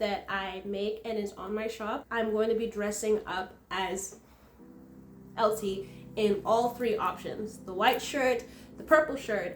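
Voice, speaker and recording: A fairly high-pitched woman at a fairly slow pace, with noticeable background noise. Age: 20s. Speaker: artist and vlogger. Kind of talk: casual vlog chat. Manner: halting, many restarts.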